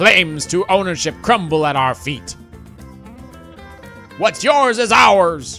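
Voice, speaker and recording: A man uses a put-on character voice, raised and projected, with a fairly high pitch. He talks at a fairly slow pace over clear background music. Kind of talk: stock theatrical pirate. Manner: boastful, gruff, playful.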